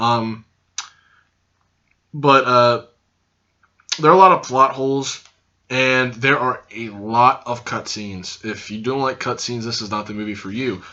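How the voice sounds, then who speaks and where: A loud man with a medium pitch and ordinary pitch variation speaks at a fairly slow pace, leaving long, frequent pauses. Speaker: youtuber, anime reviewer. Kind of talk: casual video review. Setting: recording to camera. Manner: hyper and loud.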